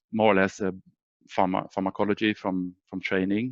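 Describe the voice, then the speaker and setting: In a very deep, low voice, a man speaks with flat, monotone intonation. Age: 50s. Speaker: biotech company CEO. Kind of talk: career presentation. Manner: halting, many fillers.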